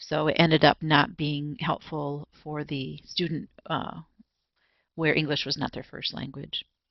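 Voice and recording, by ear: In a dry, close sound with no echo, a woman speaks low and fairly slowly, with vocal fry and little pitch movement.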